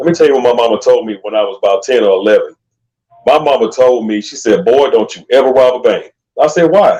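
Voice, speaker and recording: A man speaks at a very fast pace. His loudness swings a lot. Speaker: aspiring voice actor. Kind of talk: casual chat. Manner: animated.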